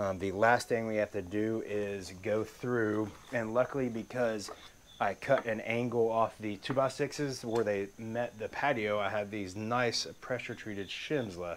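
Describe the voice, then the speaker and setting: Over light background noise, a man speaks at a fairly slow pace with fairly even intonation. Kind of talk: tutorial. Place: garden. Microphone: phone near.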